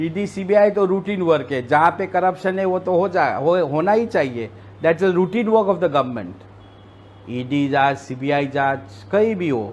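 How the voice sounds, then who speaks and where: A man's fairly high voice swings very widely in pitch. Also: moderate pace. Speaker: politician. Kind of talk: interview.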